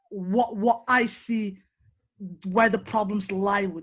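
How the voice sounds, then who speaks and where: A woman speaks in an animated tone at a fairly high pitch. Her voice is somewhat breathy. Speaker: sports podcast host. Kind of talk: casual chat.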